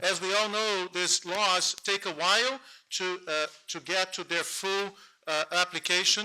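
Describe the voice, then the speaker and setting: A raised, projected voice with a Portuguese accent has a bright, sharp tone and fairly even intonation. The recording is very clean, with a silent background. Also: man, high pitch for a man. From Brazil, Rio de Janeiro. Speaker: panel moderator; lawyer. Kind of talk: conference panel introduction. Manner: fast.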